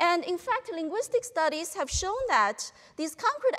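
At a moderate pace, a woman talks over a quiet background. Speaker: professor giving a talk. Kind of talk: lecture. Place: hall. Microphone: lapel.

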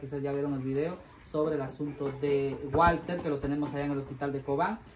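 The pace is fairly quick as a man talks. Some light noise sits in the background. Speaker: charity vlogger. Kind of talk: casual vlog chat to viewers. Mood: earnest, concerned. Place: home room.

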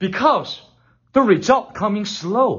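Speech in a Chinese accent comes at a fairly slow pace. The tone is enthusiastic, with lively intonation. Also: man, quiet background. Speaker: kung fu teacher. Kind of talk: tutorial. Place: home room. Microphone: phone near.

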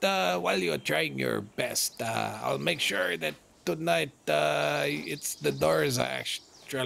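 A man's raspy, put-on character voice, very slow in pace, with very wide pitch swings. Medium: game stream. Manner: dry, sardonic, mock-kind.

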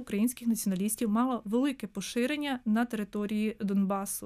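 Against a quiet backdrop, a woman speaks at a fairly quick clip. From southern Ukraine, Mykolaiv; Ukraine. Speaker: historian, museum researcher; guest. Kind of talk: radio interview. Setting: studio. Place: studio. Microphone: studio mic.

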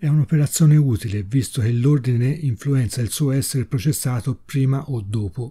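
In a Tuscan accent, a man talks at a moderate pace and medium pitch with ordinary pitch variation. His tone is dark and mellow, somewhat breathy, with hardly any pauses. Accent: Sienese Tuscan Italian. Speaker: software tutorial maker. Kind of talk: tutorial. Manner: read from notes.

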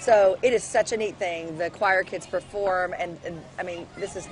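Noticeable background noise sits behind a woman whose intonation is fairly even, and the sound is dry with no echo. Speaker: TV news anchor co-hosting parade broadcast. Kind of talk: live parade commentary, chatty. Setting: outdoors at parade, live broadcast. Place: street. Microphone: headset.

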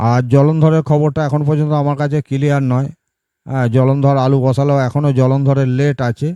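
The voice has a dark, mellow tone, monotone, flat intonation and very even loudness. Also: man, fairly high pitch for a man. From West Bengal, Purba Bardhaman. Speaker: potato market commentator / YouTuber. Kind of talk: market update monologue to camera. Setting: at his home village.

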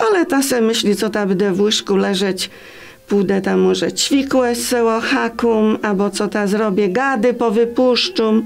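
A woman with a Greater Poland accent speaks at a fairly slow pace and very even loudness as faint music plays behind her. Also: ordinary pitch variation. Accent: Greater Poland rural dialect. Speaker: storyteller. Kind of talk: dialect storytelling. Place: studio.

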